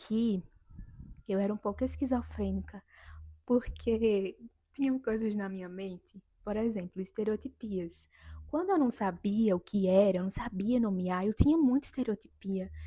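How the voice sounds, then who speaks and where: The voice is somewhat breathy, moving at a fairly slow pace with ordinary pitch variation and long, frequent pauses. The recording is very clean with a silent background. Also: woman. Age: 20s. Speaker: vlogger. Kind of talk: personal testimony vlog.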